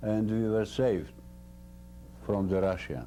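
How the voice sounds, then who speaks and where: Speaking at a fairly slow pace, a man with a fairly low pitch and a dark, mellow tone is heard with audible room echo. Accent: Slovak. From central Slovakia. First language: Slovak. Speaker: war veteran. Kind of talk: interview. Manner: halting.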